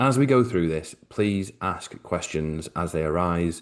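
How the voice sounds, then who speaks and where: Against a quiet background, a man speaks with a British accent in a very deep, low pitch. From Britain. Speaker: financial advisor. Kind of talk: webinar presentation. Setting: video call.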